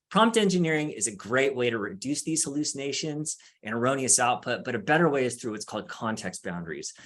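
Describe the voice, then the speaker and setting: A man speaks at a very fast pace with a medium pitch. His pitch swings very widely. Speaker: law librarian and panelist. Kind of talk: workshop presentation. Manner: casual.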